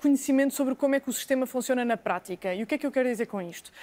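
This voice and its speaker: A woman with a high-pitched voice talks over a silent background in a very clean recording. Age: 30s. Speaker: lawyer. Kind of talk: TV debate. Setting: TV studio.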